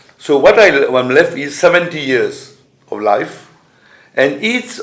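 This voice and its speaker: There is audible room echo as a man with a fairly high pitch speaks at a fairly slow pace. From Mauritius. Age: 70s. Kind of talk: conference speech. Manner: halting.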